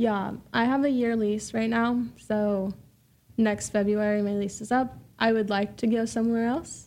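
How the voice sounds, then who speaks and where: Speaking with an American accent, a woman has an unremarkable speaking voice with a fairly high pitch and ordinary pitch variation. Her pace is moderate and her loudness very even. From US Pacific Northwest, Vancouver, Washington. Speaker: entrepreneur and solar sales representative. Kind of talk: casual interview chat.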